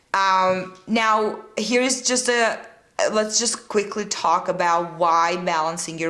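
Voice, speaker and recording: A woman with a Czech accent talks with ordinary pitch variation amid noticeable background noise and audible room echo. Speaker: fitness and nutrition coach, podcast host. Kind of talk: solo podcast monologue. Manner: casual, with frequent fillers.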